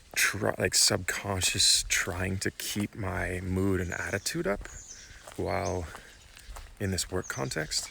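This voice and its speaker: A soft-spoken man talks very slowly at a very deep, low pitch. Noticeable background noise is present. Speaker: vlogger. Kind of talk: casual vlog monologue.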